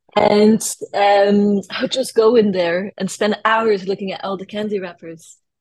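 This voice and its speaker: A woman speaks at a medium pitch. Her pace is moderate. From France. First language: French. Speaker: artist and designer. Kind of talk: interview chat.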